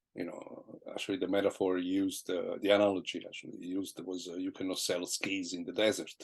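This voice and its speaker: With an Italian accent, a man talks very fast with hardly any pauses and big swings in loudness. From southern Italy. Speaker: jazz guitarist. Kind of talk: interview. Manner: halting.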